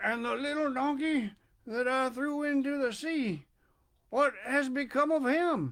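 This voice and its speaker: A man performs a put-on character voice at an extremely high pitch. It sounds shaky and moves at a fairly slow pace. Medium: read story.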